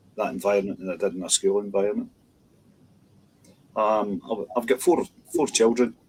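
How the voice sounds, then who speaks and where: A man with a Scottish accent, fairly low in pitch with ordinary pitch variation, fairly quick but broken by long, frequent pauses. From west of Scotland (Dumbarton). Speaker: minister. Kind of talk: interview. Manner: halting.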